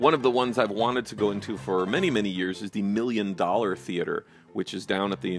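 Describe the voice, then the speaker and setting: Music plays behind a man with a fairly low-pitched voice. He talks at a fairly quick pace with ordinary pitch variation. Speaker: channel host narrator. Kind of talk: casual narrated photo commentary.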